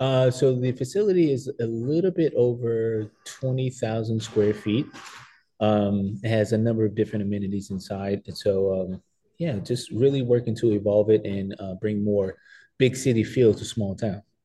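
Against a quiet background, a man speaks at a medium pitch with ordinary pitch variation, his tone dark, mellow and somewhat breathy. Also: moderate pace. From New Jersey, then North Carolina from ninth grade. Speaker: gym owner and fitness coach. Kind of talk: interview. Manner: hesitant with many fillers.

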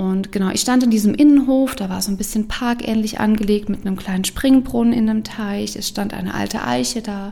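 With ordinary pitch variation and a fairly high pitch, a woman talks at a moderate pace while noticeable background noise is heard. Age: 30s. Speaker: podcast host and coach. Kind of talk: personal testimony monologue. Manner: animated.

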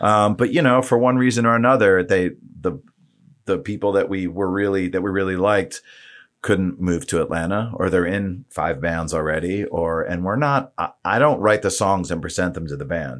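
An ordinary speaking voice from a man, fairly low in pitch with ordinary variation, at a moderate pace. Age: 40s. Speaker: musician. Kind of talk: casual chat.

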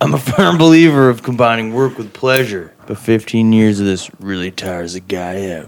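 A man's put-on character voice, growling and lively in intonation, at medium pitch and a moderate pace with hardly any pauses. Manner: gruff, tired, world-weary.

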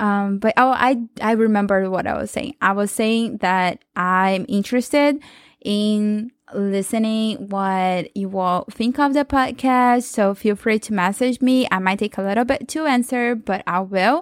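A woman with a Portuguese accent talks at a fairly slow pace in a fairly high pitch with ordinary pitch variation, recorded very cleanly against a silent background with a dry, close sound and no echo. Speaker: podcast host. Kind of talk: solo podcast monologue. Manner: casual, with frequent laughs and fillers.

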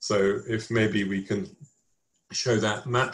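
A man talks at a very slow pace. His voice is somewhat breathy.

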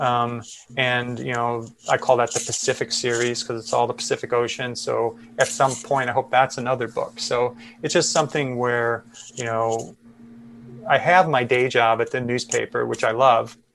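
A monotone, flat delivery with an American accent at a moderate pace. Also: man, medium pitch for a man. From US Midwest, Chicago. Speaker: photojournalist. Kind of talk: interview conversation.

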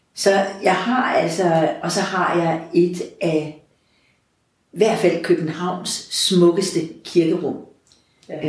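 A woman with a fairly low pitch speaks at a very slow pace with fairly even intonation and long, frequent pauses, her voice carrying audible room echo. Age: 60s. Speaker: parish priest. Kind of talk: interview conversation.

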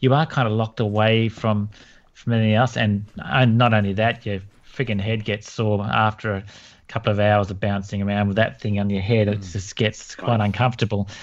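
A man with an Australian accent, fairly low-pitched, fairly quick and fairly even in intonation, against a quiet background. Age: 50s. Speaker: landscape photographer and podcast co-host. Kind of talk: casual interview chat.

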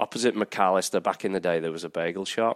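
A man speaks in an American accent. His pace is very fast. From northwest England, Chorley near Manchester. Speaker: college soccer coach. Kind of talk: casual interview. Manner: hesitant, many fillers.

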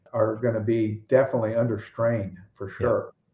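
Somewhat breathy, a man with an American accent speaks at a medium pitch. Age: 60s. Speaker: ranch real estate broker. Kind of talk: casual interview conversation.

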